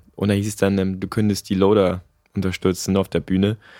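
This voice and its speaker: In a very clean recording with a silent background, an ordinary speaking voice talks fairly quickly. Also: man. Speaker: weightlifter. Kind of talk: casual interview.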